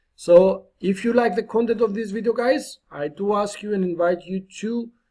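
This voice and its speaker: Speaking in a dark, mellow tone, this man has a non-native accent. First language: not English. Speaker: online marketing YouTuber. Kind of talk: tutorial. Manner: animated; slow and clear dictation at times.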